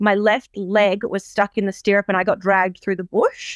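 In an Australian accent, a woman with a medium pitch speaks at a moderate pace in an animated tone, the sound dry and close with no echo and a quiet background. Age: 30s. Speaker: horse farm and events business owner. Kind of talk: interview.

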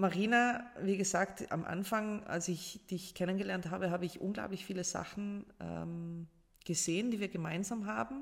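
In a South Tyrolean accent, a woman speaks at a moderate pace and medium pitch with ordinary pitch variation. The recording is very clean, with a silent background. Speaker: life coach and public speaker. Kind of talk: casual interview. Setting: in person at the host's home.

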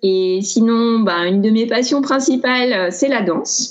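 Against noticeable background noise, a woman's intonation is lively. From France, Grenoble. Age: 30s. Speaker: traveller. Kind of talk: casual chat.

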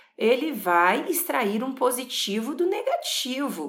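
An animated woman's voice with very wide pitch swings, audible room echo and noticeable background noise. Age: 40s. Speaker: psychologist. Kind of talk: podcast monologue.

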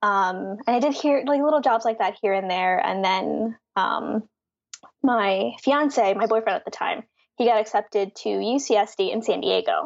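Against a quiet background, a woman with an American accent speaks at a fairly high pitch with vocal fry. Her intonation is lively and her pace fairly slow. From Philadelphia, US. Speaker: graphic designer and letterer. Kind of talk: interview.

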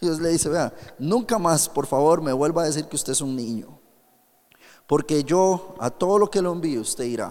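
This man has an unremarkable speaking voice with ordinary pitch variation. He speaks at a moderate pace. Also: fairly high pitch for a man. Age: 30s. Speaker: pastor. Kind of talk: sermon. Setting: youth camp with audience.

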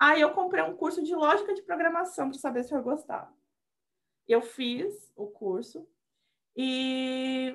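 At a fairly slow pace, a woman speaks in an animated tone with a high pitch and lively intonation. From Brazil, Rio Grande do Sul, later years in Salvador. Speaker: software developer, former historian. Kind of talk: casual chat. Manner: animated, frequent laughter.

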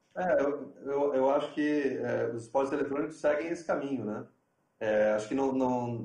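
Audible room echo surrounds a man's voice. He speaks at a moderate pace with a fairly high pitch and fairly even intonation. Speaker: TV sports executive. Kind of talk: online panel discussion. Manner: halting.

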